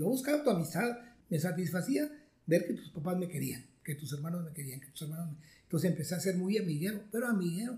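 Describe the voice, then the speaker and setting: Very fast and lively in intonation, a man speaks in a high pitch with a dark, mellow tone and big swings in loudness. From Mexico, Monterrey area (Nuevo León). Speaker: retired math professor. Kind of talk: interview, life story.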